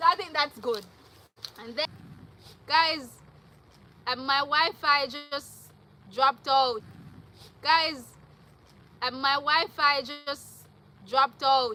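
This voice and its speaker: A woman speaks in a raised, projected voice with a high pitch and ordinary pitch variation, her loudness swinging widely. Her pace is very slow, broken by long, frequent pauses. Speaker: vlogger. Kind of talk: live stream. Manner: animated.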